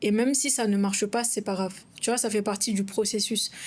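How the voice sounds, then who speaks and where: In a very clean recording with a silent background, a woman with a non-native accent speaks at a moderate pace in a fairly high, somewhat breathy voice with fairly even intonation. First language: not French (speaking French). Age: 20s. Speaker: content creator and podcast co-host. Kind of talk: casual podcast conversation.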